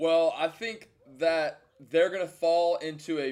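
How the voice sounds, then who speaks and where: Moderate pace and fairly high pitch from a man with an ordinary speaking voice. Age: 20s. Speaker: sports podcast co-host. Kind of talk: casual chat.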